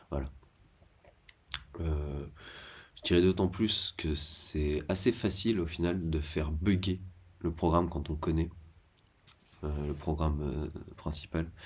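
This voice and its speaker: Soft-spoken and somewhat breathy, the voice moves at a very slow pace with fairly even intonation and long, frequent pauses. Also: man, very deep, low pitch for a man. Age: 30s. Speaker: vlogger. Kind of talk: casual monologue. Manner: halting.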